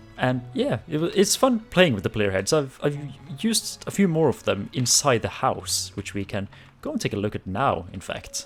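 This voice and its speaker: With music playing in the background, a man of medium pitch speaks at a moderate pace with very wide pitch swings. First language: not English. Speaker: Minecraft gaming YouTuber. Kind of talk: casual gameplay commentary. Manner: hesitant, with many fillers and false starts.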